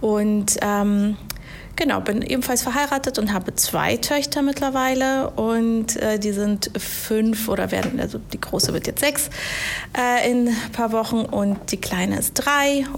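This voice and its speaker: Over noticeable background noise, the speaker goes fairly slowly with ordinary variation in pitch. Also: woman, fairly high pitch for a woman. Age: 30s. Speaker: HR manager. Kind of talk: casual interview. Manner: hesitant, many fillers.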